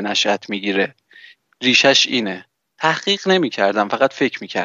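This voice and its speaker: This man has a plain, everyday voice. He talks at a moderate pace. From Iran. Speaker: podcaster. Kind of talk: casual chat.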